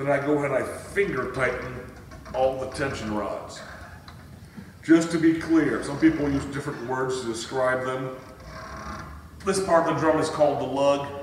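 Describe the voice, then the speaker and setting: A man at a moderate pace with long, frequent pauses and ordinary pitch variation, audible room echo and light background noise. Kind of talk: tutorial. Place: home room. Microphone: camera far.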